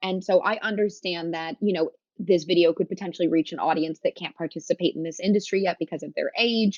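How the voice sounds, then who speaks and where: A woman at a fairly quick pace, fairly low in pitch, with ordinary pitch variation. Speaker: cannabis business founder. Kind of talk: interview. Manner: loud; casual, animated.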